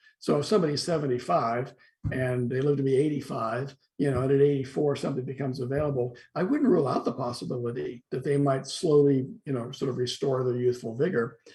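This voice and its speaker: A man at a medium pitch, very fast pace and fairly even intonation. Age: 60s. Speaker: philosophy professor. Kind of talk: interview discussion. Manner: halting with repetitions.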